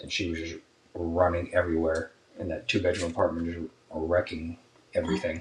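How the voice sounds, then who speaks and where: The man talks quietly and mumbles. His pace is very fast. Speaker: podcast co-host, soldier. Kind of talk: casual chat. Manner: mumbling, quiet; low energy.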